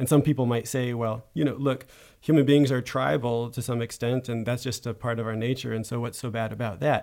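Fairly even intonation in an unremarkable speaking voice. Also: man, medium pitch for a man, fairly quick pace. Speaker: podcast host. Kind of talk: interview. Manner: formal.

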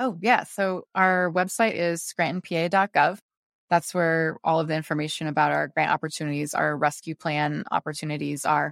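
A woman with an American accent speaks at a fairly low pitch and moderate pace, with ordinary pitch variation. It is an ordinary speaking voice, on a very clean recording with a silent background and a dry, close sound with no echo. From US Pacific Northwest, Beaverton, Oregon. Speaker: mayor. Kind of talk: interview.

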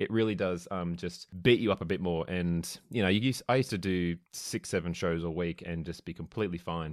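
An Australian-accented man with a very deep, low pitch and ordinary pitch variation at a fairly quick pace, in a very clean recording with a silent background. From Australia, small country town (Victoria). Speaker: ballet dancer. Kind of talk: casual chat.

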